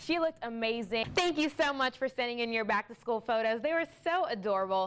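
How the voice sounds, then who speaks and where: A woman's fairly quick delivery with lively intonation. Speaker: TV news anchor and reporter. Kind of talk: TV news anchoring.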